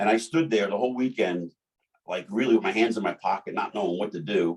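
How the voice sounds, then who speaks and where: This is a man speaking. He talks with a New Jersey accent. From New Jersey (Jersey City). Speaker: bodybuilding emcee and sponsored athlete. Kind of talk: casual chat. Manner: halting, with many repetitions.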